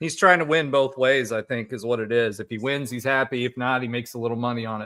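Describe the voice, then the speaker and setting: Very fast speech from a man, medium in pitch, the intonation fairly even. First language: German. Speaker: watch party co-host. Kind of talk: live watch party commentary.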